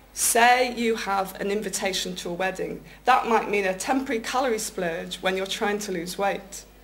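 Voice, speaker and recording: Clearly audible background noise surrounds a woman talking at a mid-range pitch. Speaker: public speaking club member. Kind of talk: prepared speech at a speaking club contest.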